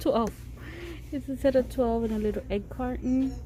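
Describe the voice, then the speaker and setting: A woman mumbles in a room with audible echo. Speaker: shopping vlogger. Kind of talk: casual shopping vlog. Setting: in a store. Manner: muffled mumbling through mask.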